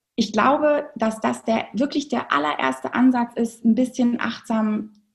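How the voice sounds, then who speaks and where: A woman with a fairly high pitch speaks fairly slowly in a normal speaking voice, using ordinary pitch variation. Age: 40s. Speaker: movement educator for children. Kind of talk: interview.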